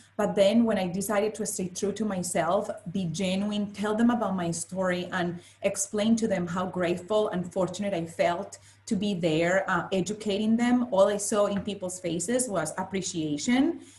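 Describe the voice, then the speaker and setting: In a strong Spanish accent, a woman speaks at a moderate pace and medium pitch. Her intonation is fairly even, with noticeable background noise. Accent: thick Spanish. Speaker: finance professional, panelist. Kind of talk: panel discussion. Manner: halting, repeats words.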